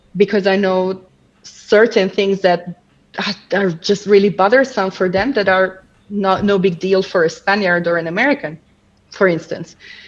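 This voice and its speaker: A woman talks with a non-native accent. She keeps a moderate pace. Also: medium pitch for a woman, fairly even intonation. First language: not English. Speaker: language coach. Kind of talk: casual chat.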